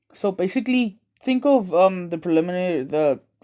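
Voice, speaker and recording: In a very clean recording with a silent background, a man talks with lively intonation. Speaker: anime YouTuber. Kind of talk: casual fan-fiction storytelling monologue. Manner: fast; halting, many fillers.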